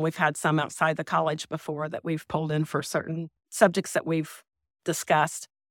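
A woman with an unremarkable speaking voice talks at a moderate pace, fairly low in pitch. The sound is dry and close with no echo, on a very clean recording with a silent background. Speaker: farmer. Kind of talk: interview.

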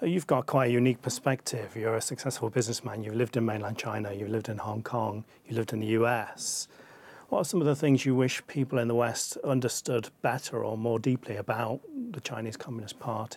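A man with an ordinary speaking voice at medium pitch, fairly even intonation and a fairly quick pace. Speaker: interviewer and show host. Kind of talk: interview.

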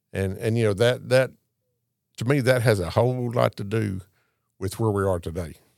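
A man with a Southern US accent, fairly low pitch and ordinary pitch variation, moderate pace with long, frequent pauses, on a very clean recording with a silent background. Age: 60s. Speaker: Santa Claus performer. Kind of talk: casual interview. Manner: jovial.

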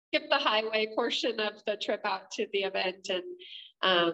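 With an American accent, a woman talks at a medium pitch in a bright, sharp tone with ordinary pitch variation. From southern Oregon, Klamath Falls. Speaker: economic development project manager. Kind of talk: interview.

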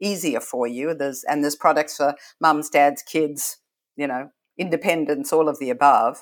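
On a very clean recording with a silent background, a woman talks in a very deep, low pitch. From Australia. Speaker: retail consultant. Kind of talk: interview.

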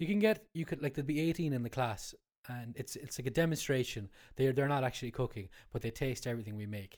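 In a very clean recording with a silent background, a man with an Irish accent talks at a medium pitch and a very fast pace. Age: 30s. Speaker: chef. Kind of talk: casual chat. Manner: halting.

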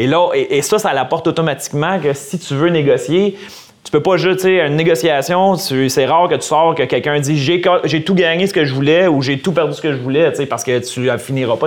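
A man speaks at a fairly quick pace in a fairly high pitch with ordinary pitch variation. Noticeable background noise runs underneath. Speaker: lawyer and podcast host. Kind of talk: casual interview.

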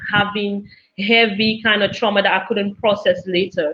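A woman's medium-pitched, monotone, flat delivery at a fairly slow pace. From Cameroon. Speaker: university lecturer and singer. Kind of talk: casual live interview chat. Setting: live video stream.

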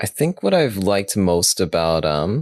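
Dry and close with no echo, a man's voice carries vocal fry and lively intonation. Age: 30s. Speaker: anime podcast co-host. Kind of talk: casual chat.

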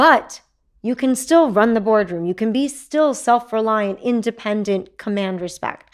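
A normal speaking voice from a woman with an American accent, fairly high in pitch, with ordinary pitch variation and a fairly slow pace, on a very clean recording with a silent background. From Texas. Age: 40s. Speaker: entrepreneur. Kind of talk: casual interview.

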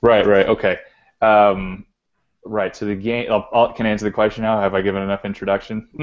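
At a very fast pace, a man with an American accent speaks in a monotone, flat intonation at a fairly low pitch. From Texas. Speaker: arcade collector. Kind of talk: casual chat.

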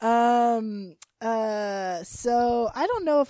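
A woman with a dark, mellow tone and lively intonation is heard on a very clean recording with a silent background. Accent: American. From North Carolina. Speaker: podcast co-host. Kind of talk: casual chat.

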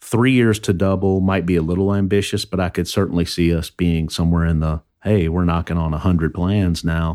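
Very deep and low, a man's voice with a dark, mellow tone and an American accent moves at a fairly quick pace with fairly even intonation. He hardly pauses, and the recording is very clean with a silent background. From southern Indiana. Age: 50s. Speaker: financial advisor. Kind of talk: interview.

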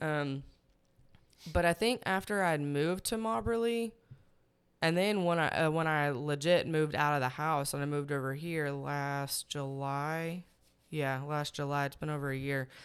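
On a very clean recording with a silent background, a woman with a Texas accent speaks at a moderate pace in a very deep, low pitch with ordinary pitch variation. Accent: Southern US (Texas). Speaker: podcast guest. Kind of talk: casual chat.

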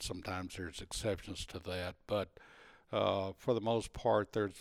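A man speaks with a Texan accent. His voice is fairly low and monotone, with flat intonation. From Texas. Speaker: retired salesman and hunter. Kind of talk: casual interview, storytelling. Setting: at home in person.

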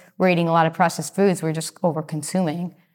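On a very clean recording with a silent background, a woman speaks in a normal speaking voice, fairly low in pitch and fairly even in intonation. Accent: American. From Massachusetts. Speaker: health and fitness coach. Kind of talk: casual interview chat.

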